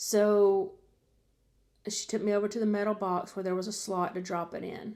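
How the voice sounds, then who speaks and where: With a Southern US accent, a woman speaks at a moderate pace in a dark, mellow tone. Her pitch is medium and her intonation monotone and flat. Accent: Southern US (Georgia). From Georgia, US South. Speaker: vlogger recounting jail experience. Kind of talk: personal storytelling.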